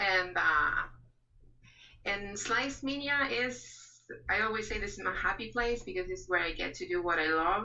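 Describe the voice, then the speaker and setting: Amid audible room echo, a woman speaks at a moderate pace with lively intonation. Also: medium pitch for a woman. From Uruguay. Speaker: template creator. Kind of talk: webinar interview.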